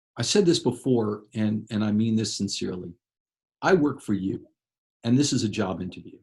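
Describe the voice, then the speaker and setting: Somewhat breathy, a man speaks in a passionate tone with lively intonation. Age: 60s. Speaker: political candidate, former judge and lawyer. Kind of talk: candidate interview.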